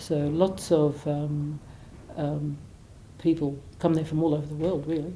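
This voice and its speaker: Over audible room echo, a woman speaks slowly with a very deep, low pitch, a dark, mellow, somewhat breathy tone, monotone, flat intonation and long, frequent pauses. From Australia, Gold Coast, Queensland. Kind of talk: biographical interview. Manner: halting, many fillers.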